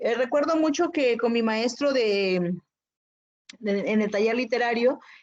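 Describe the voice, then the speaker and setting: With a Chiapas accent, a woman speaks at a fairly slow pace and fairly high pitch. Her pitch varies in an ordinary way while her loudness stays very even. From Chiapas, Mexico (Zoque community). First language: Zoque (speaking Spanish). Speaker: poet and writer. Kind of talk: interview conversation. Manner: hesitant, many fillers.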